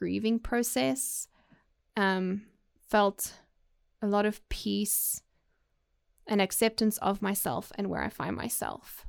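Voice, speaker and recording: On a very clean recording with a silent background, a woman speaks at a fairly high pitch in a South African accent. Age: 30s. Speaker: podcast host. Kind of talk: personal monologue. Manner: halting, many fillers.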